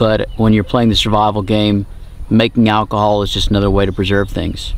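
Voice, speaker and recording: A man's fairly low voice, a normal speaking voice, with a dry sound and no echo. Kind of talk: tutorial. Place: open country.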